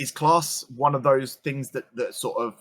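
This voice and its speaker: Over a silent background in a very clean recording, a man talks with a slight London accent. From London, England (council estate). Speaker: streamer. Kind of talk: casual chat. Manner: loud.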